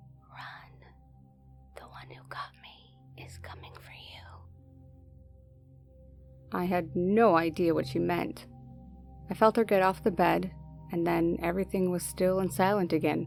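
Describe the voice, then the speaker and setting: Over music in the background, the speaker talks at a fairly slow pace with big swings in loudness and long, frequent pauses. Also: woman. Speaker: horror story narrator. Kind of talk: horror story narration.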